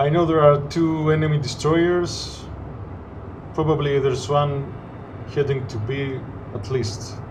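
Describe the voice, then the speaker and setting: A man's fairly high voice at a fairly slow pace, with long, frequent pauses, ordinary pitch variation, audible room echo and noticeable background noise. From Greece. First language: Greek. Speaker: gaming commentator. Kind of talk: gameplay commentary. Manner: halting, many fillers.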